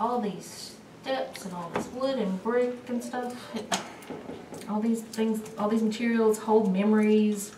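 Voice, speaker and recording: A woman talks at a fairly slow pace with a fairly high pitch. Her intonation is monotone and flat, and there is noticeable background noise. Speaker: ghost tour guide. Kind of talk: guided ghost tour talk.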